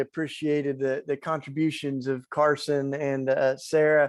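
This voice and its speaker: The speaker talks in a Tennessee accent over a quiet background. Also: man. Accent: Tennessee accent, noticeable. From East Tennessee, US South. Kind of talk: panel discussion.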